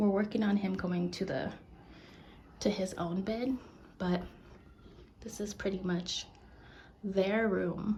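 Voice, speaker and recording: Vocal fry colors a woman's medium-pitched voice. She speaks at a fairly slow pace. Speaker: vlogger, stay-at-home mom. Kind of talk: casual vlog. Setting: at home.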